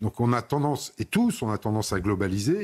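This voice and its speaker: A man speaks in a somewhat breathy voice. The recording is very clean, with a silent background. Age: 60s. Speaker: member of parliament. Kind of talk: TV panel debate.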